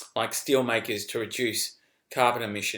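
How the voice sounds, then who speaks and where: At a moderate pace, a man with an Australian accent speaks in a bright, sharp tone. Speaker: finance newsletter editor. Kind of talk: casual investment commentary video. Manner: animated.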